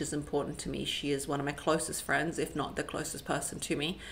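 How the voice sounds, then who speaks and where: With an animated tone, a woman talks at a moderate pace. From Eastern European background, schooled in England. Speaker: lifestyle YouTuber and podcaster. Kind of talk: casual Q&A monologue to camera.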